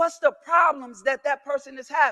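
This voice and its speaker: A man's raised, projected voice with a bright, sharp, animated tone, ordinary pitch variation and a fairly quick pace, in a dry, close sound with no echo. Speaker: keynote speaker, content creator. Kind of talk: motivational keynote speech. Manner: animated, call-and-response.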